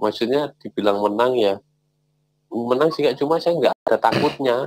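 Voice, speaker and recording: In a Javanese accent, the speaker comes through dry with no echo over a quiet background. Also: man. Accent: Javanese-tinged speech. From Central Java, Purworejo; Central Java. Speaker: caller. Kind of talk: personal testimony. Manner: halting.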